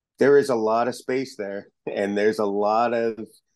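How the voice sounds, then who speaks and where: A man talks at a fairly slow pace in a normal speaking voice. His pitch is medium, with ordinary pitch variation. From Eastern Canada. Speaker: music fan. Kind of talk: casual interview.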